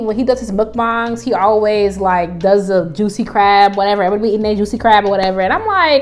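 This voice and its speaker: Music plays in the background as a woman speaks. Her voice is fairly high-pitched, and her pace is very fast. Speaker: vegan cooking youtuber. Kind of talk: cooking tutorial. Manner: animated.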